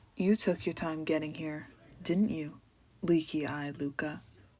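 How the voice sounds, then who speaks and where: Putting on a character voice, a woman speaks husky and very deep, low, at a moderate pace with ordinary pitch variation, in a very clean recording with a silent background. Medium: read story. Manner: menacing, condescending.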